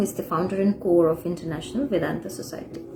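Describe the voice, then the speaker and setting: A woman talking at a very fast pace, ordinary pitch variation, noticeable background noise behind her. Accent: Bengali. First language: Bengali. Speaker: spiritual teacher. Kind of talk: lecture. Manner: halting, frequent uh fillers.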